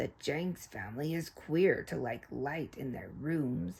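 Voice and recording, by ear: A growling, put-on character voice at a low-to-middle pitch and a fairly slow pace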